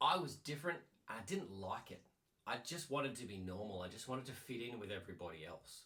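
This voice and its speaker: Very fast and bright-toned, a man speaks at a medium pitch. His pitch swings very widely, with a sharp edge to the sound. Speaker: life coach. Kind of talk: personal story talk.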